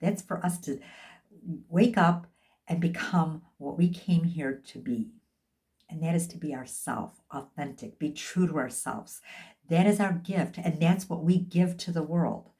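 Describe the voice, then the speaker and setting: A woman's somewhat breathy voice, dark and mellow in tone and fairly low in pitch, moves at a fairly slow pace with ordinary pitch variation and big swings in loudness. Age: 60s. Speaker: life and health coach. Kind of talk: motivational talk.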